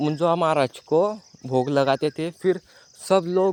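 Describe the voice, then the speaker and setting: A man's fairly high-pitched voice, with a dry, close sound and no echo. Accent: Marathi. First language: Marathi (speaking Hindi). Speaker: vlogger. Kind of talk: walking tour vlog narration. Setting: outdoors. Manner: halting.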